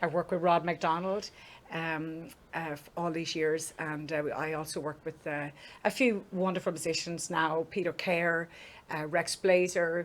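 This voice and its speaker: Someone with an Irish accent speaks at a fairly slow pace in a flat monotone. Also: woman, fairly low pitch for a woman. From Ireland. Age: 50s. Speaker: singer. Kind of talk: interview. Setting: studio.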